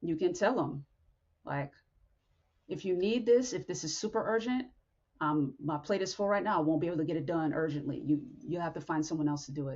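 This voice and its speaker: Lively in intonation, a woman with a fairly low pitch talks at a fairly quick pace with long, frequent pauses. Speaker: podcast host. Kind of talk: motivational talk. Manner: blunt.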